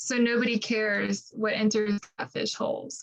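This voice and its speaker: A woman speaks at a fairly high pitch in a plain, everyday voice. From Appalachian Ohio, Ross County. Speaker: poet. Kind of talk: poetry reading.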